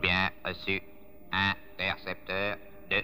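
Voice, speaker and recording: A man speaks in a put-on character voice, very deep and low, at a very slow pace over clear background noise. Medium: fan dub. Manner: repetitive, monotone, mechanical.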